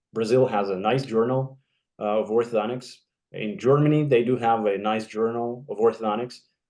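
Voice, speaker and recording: A man with a Russian accent speaks at a moderate pace in a dark, mellow tone. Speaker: orthodontist. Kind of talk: casual chat. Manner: halting.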